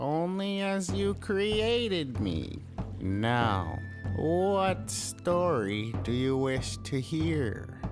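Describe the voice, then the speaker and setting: Loud music plays behind a cartoonish character voice that speaks very slowly at a low-to-middle pitch. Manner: composed, knowing.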